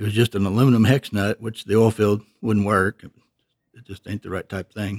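A man with an East Texas accent, fairly low-pitched and monotone, flat in intonation, in a dry, close, very clean recording with a silent background. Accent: East Texas Southern US. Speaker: retired machine shop owner. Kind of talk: interview.

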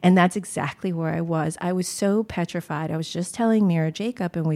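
A woman with an American accent speaks at a moderate pace in a fairly low pitch with a dark, mellow tone and ordinary pitch variation, in a dry, close sound with no echo on a very clean recording with a silent background. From US. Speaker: poet. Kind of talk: interview conversation. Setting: home apartment.

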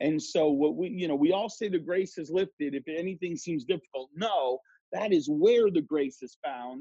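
An unremarkable speaking voice at a moderate pace, with a dry, close sound and no echo. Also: man, fairly high pitch for a man, ordinary pitch variation. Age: 30s. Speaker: pastor and author. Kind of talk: interview, teaching style.

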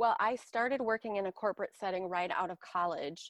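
Her voice sits at a medium pitch and sounds dry and close, with no echo. The background is quiet. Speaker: wellness professional, yoga and fitness instructor. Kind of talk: coaching call. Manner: gentle, graceful tone.

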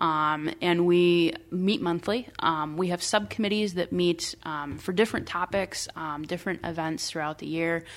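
On a very clean recording with a silent background, a woman speaks at a moderate pace with hardly any pauses, a fairly low pitch and ordinary pitch variation. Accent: Midwestern US. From rural Iowa. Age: 30s. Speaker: local party official. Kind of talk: interview. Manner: hesitant, many fillers.

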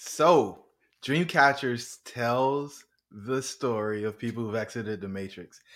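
An unremarkable speaking voice from a man, medium in pitch, with fairly even intonation on a very clean recording with a silent background. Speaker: podcast host and real estate investor. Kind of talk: interview chat. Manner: casual, jovial.

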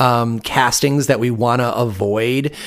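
A man with an American accent speaks at a fairly slow pace. His is an unremarkable speaking voice, with ordinary pitch variation. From Michigan. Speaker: podcast host, cannabis grower. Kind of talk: interview.

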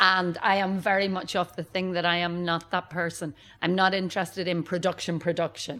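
A woman speaks in a Northern Irish accent at a fairly quick pace. Her fairly low voice has a bright, sharp tone and a monotone, flat intonation. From Northern Ireland. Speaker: brewery director. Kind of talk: interview. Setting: brewery bar.

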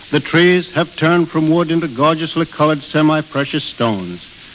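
At a moderate pace and a fairly high pitch, a man talks with fairly even intonation as noticeable background noise carries on. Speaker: national park superintendent. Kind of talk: radio interview. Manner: plain-spoken, earnest, measured.

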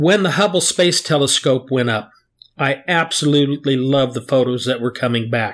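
With ordinary pitch variation, a normal speaking voice proceeds at a moderate pace. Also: man, medium pitch for a man. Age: 60s. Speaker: geologist. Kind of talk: casual chat.

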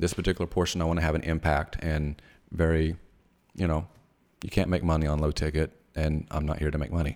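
Over a very clean recording with a silent background, a man speaks very fast at a very deep, low pitch, monotone and flat, with long, frequent pauses. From US South, northeast Mississippi. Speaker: entrepreneur. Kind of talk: casual interview. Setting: studio.

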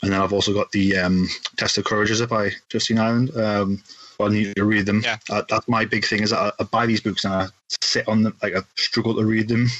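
A man speaks at a fairly quick pace with a Geordie accent, his pitch fairly low. His intonation is flat and monotone, and his loudness stays very even. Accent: Geordie (Newcastle) English. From northeast England, Newcastle. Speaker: podcast host guesting on another show. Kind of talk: casual chat.

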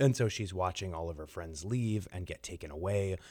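His pitch is very deep and low. The voice is a man's. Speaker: theatre director. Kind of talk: radio interview.

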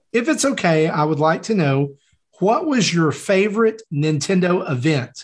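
Against a quiet background, someone speaks with a Southern US accent. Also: man. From US South, Tennessee. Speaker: podcast host. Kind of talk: casual chat.

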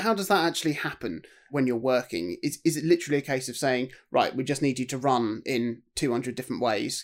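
A man with an ordinary speaking voice talks at a medium pitch, fairly quick, with hardly any pauses. His intonation is lively, and the recording is very clean with a silent background. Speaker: podcast host. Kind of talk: casual podcast interview.

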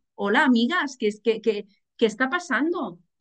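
The pitch swings very widely. The speaker keeps a moderate pace. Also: woman. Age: 40s. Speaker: journalist and single mother. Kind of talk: casual interview. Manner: animated.

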